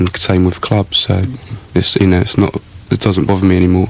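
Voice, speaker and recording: A very deep, low male voice, monotone and flat, very fast, over noticeable background noise. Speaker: electronic musician. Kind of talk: interview answer. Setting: radio studio.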